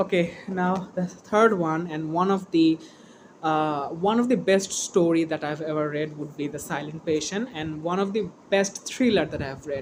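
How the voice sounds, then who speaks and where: A woman with a non-native accent, fairly low pitch, ordinary pitch variation and a fairly slow pace. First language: not English. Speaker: book vlogger. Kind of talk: casual vlog. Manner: halting, hesitant with fillers.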